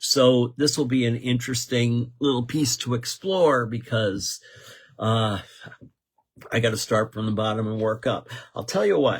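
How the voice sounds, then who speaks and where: A somewhat breathy voice at a fairly slow pace with ordinary pitch variation. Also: man. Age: 70s. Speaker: radio host. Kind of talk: casual radio talk show monologue. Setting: radio studio. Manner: conversational, with fillers and restarts.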